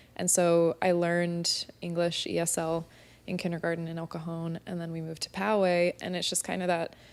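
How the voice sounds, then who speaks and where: Fairly quickly and in a Californian accent, a woman talks at a fairly low pitch with monotone, flat intonation. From US West Coast, San Diego. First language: Spanish. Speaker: spin instructor, podcast guest. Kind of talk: casual interview chat.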